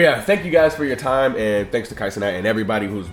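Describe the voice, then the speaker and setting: A man talks at a very fast pace in a fairly low voice with ordinary pitch variation. Noticeable noise sits in the background. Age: 20s. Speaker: content creator. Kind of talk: casual application video monologue.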